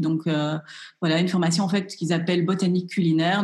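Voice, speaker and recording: A woman with a fairly low pitch speaks in a somewhat breathy voice with fairly even intonation. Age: 30s. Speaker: chef and cooking instructor. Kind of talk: interview.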